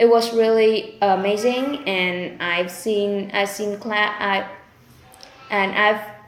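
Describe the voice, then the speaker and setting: Over audible room echo, a woman speaks very slowly at medium pitch with fairly even intonation. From Vietnam, Ho Chi Minh City. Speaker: IELTS test candidate. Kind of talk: mock speaking exam answers. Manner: halting, with many fillers.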